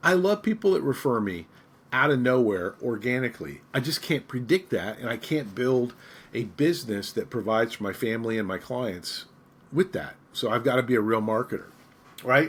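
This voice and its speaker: A man at a medium pitch with lively intonation. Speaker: podcast host and author for financial advisors. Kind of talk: solo podcast monologue. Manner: fast; animated, passionate.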